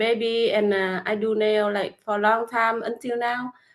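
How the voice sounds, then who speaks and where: On a very clean recording with a silent background, a woman speaks with a Vietnamese accent at a fairly high pitch and a moderate pace. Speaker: nail technician and online business mentor. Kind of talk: casual interview chat. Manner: halting, hesitant with many fillers.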